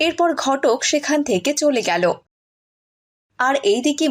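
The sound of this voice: This woman's voice is high-pitched, with lively intonation. She keeps a moderate pace.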